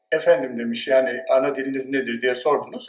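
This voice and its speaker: A man at a moderate pace, with audible room echo. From Turkey, Dersim. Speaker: sociology professor. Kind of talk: conference talk. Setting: conference with audience.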